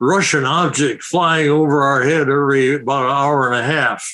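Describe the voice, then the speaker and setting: A bright, sharp tone at a fairly slow pace. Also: man. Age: 80s. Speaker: professor emeritus space physicist. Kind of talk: interview, explanatory talk.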